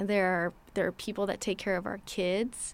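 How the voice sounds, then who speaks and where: The speaker uses a normal speaking voice with an American accent at a fairly quick pace, in a very clean recording over a silent background. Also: woman. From Los Angeles, US. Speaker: city immigrant affairs director. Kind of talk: interview.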